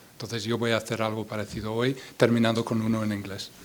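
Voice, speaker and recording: A man talks at a medium pitch with an English accent. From US Midwest, Iowa. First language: English (speaking Spanish). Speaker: poet and translator. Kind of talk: poetry reading with spoken introduction. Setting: stage with audience at a book fair. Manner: halting, repeats words.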